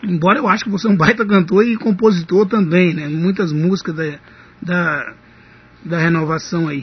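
A man speaks at a high pitch. His pitch varies an ordinary amount. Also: moderate pace. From Minas Gerais, Ipaba. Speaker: radio host. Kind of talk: radio interview.

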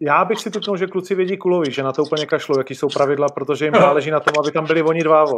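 A man's fairly high voice at a very fast pace with hardly any pauses, ordinary pitch variation, and noticeable background noise. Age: 40s. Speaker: football podcast host and TV commentator. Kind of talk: casual chat.

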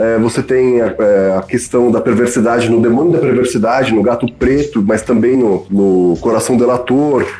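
Noticeable background noise runs under a man speaking at a moderate pace. His pitch is medium, with ordinary variation. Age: 40s. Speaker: editor and bookseller. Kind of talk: casual chat. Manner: halting.

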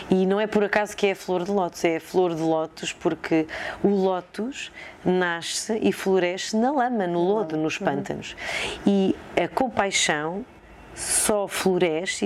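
Speaking at a fairly slow pace, a woman uses a medium pitch with ordinary pitch variation while noticeable background noise carries on behind her. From Portugal, Coimbra region. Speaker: psychology researcher. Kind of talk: interview conversation. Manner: hesitant with fillers.

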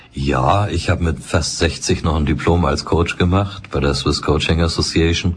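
His pitch is very deep and low, and his tone calm. The man moves at a fairly slow pace with ordinary pitch variation. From Hamburg, northern Germany. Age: 60s. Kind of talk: interview. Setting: studio.

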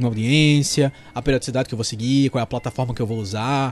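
The speech comes at a very fast pace in a somewhat breathy voice. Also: man. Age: 30s. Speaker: podcast host, content creator. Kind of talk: solo monologue podcast, tips.

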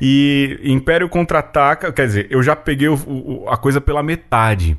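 Very wide pitch swings at a moderate pace. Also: man. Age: 40s. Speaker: podcast host. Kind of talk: casual chat.

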